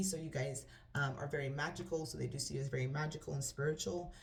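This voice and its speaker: With a very deep, low pitch and vocal fry, a woman talks at a very fast pace in fairly even intonation, with audible room echo around her. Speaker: tarot reader. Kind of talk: tarot reading. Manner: stutter; halting.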